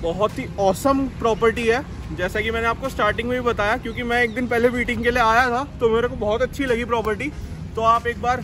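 Over noticeable background noise, a man with an extremely high pitch speaks in a monotone, flat intonation. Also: moderate pace. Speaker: food vlogger. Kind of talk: casual vlog chat. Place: garden. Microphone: phone near.

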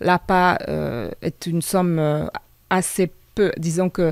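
A woman with a Hungarian accent speaks at a fairly low pitch with fairly even intonation, the sound dry with no echo over a quiet background. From Hungary. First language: Hungarian (speaking French). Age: 40s. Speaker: local election candidate; election candidate. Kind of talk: radio interview. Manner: halting, many hesitations. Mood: earnest, calm. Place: studio. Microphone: studio mic.

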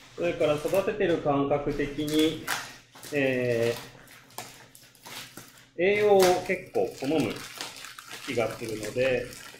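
A man speaks at a very slow pace with long, frequent pauses. Noticeable background noise runs underneath. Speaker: bar owner. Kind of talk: casual gardening livestream talk. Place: bar. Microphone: phone near.

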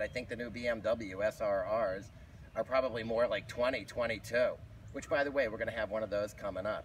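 A man talks at a fairly quick pace. Light background noise is audible. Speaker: motorcycle vlogger. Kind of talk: casual vlog chat. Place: street.

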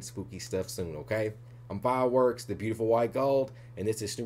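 Music plays in the background as a man talks very fast. His intonation stays fairly even. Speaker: reaction channel host. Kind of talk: casual outro to viewers.

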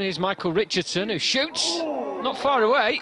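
With a raised, projected voice, a man sounds animated. His pitch swings very widely, and there is noticeable background noise. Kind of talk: football commentary. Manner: fast, clipped play-by-play delivery; animated, building excitement at chances.

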